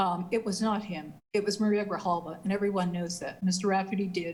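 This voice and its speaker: Speaking at a fairly quick pace with an American accent, this voice is somewhat breathy and stays monotone, with flat intonation. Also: woman. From US West, West Sacramento, California. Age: 60s. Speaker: city council member. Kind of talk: council meeting debate.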